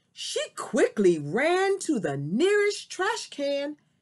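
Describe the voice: Reading aloud, plain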